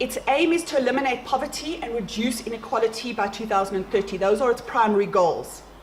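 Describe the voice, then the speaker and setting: Over noticeable background noise, a woman talks very fast at a fairly high pitch with ordinary pitch variation and hardly any pauses. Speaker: science organization representative. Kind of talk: conference presentation.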